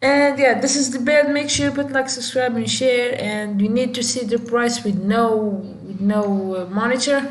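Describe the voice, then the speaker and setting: A woman with a high voice speaks at a moderate pace with ordinary pitch variation, amid audible room echo and noticeable background noise. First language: Moroccan Arabic (Darija). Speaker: tech youtuber. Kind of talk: tutorial. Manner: halting; casual, many fillers.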